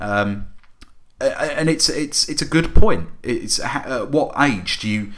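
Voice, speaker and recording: A man's fairly high-pitched voice, very slow, with lively intonation and noticeable background noise. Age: 30s. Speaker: podcast co-host. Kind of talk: casual chat.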